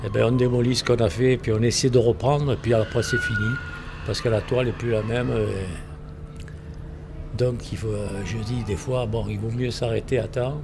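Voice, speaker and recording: The voice has fairly even intonation, broken by long, frequent pauses. Noticeable background noise is present. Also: man, medium pitch for a man, moderate pace. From Provence, southern France, Italian family. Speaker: painter, theatre set decorator. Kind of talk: interview. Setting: art gallery.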